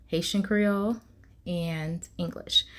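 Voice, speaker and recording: Somewhat breathy, a woman speaks at a medium pitch. The recording is very clean, with a silent background. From Louisiana, US, from age 4 (born in Haiti). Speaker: medical interpreter and translator. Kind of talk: casual personal vlog talk.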